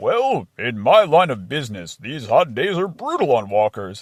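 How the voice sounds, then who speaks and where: Cartoonish character voice at a moderate pace. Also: man, medium pitch for a man. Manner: matter-of-fact, jolly.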